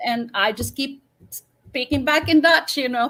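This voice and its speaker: Fairly slow, fairly even intonation in a Swedish accent. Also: woman. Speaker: professional violinist. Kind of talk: interview. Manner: halting, many repetitions.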